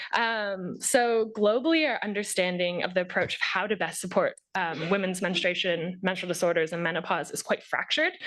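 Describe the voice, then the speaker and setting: A woman with an unremarkable speaking voice talks at a medium pitch with ordinary pitch variation and hardly any pauses. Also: fairly quick pace. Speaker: researcher. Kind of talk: conference presentation.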